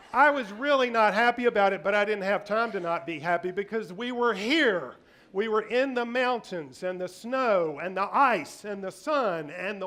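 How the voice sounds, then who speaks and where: The tone is animated. It also sounds bright and sharp. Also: man. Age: 60s. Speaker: public speaker. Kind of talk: storytelling presentation.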